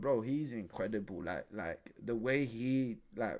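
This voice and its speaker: A man speaks in a London accent at a medium pitch. The recording is very clean, with a silent background. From West London, Ecuadorian family. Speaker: streamer reacting to podcast. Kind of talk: casual live stream commentary. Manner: animated, repetitive.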